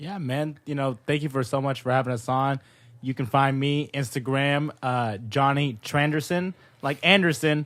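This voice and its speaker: At a moderate pace, a man with an American accent talks at a fairly high pitch. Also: ordinary pitch variation, very clean recording, silent background. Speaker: podcast host. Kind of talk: casual chat. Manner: loud; animated.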